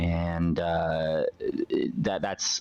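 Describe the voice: A man speaks at a low pitch. His intonation stays fairly even.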